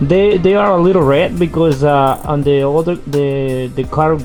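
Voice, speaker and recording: A man with a non-native accent, fairly high in pitch and fairly even in intonation, over music in the background. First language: not English. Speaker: car enthusiast, home mechanic. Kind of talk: casual car repair tutorial.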